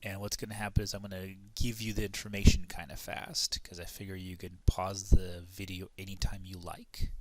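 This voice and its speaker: With hardly any pauses, a man speaks in monotone, flat intonation while his loudness swings widely. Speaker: math teacher. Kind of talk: tutorial. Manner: fast; casual.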